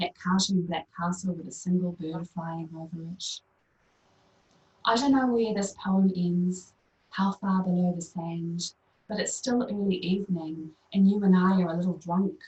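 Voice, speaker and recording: A woman with a strong New Zealand accent speaks at a moderate pace, somewhat breathy and at a fairly low pitch. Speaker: poet. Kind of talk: poetry reading.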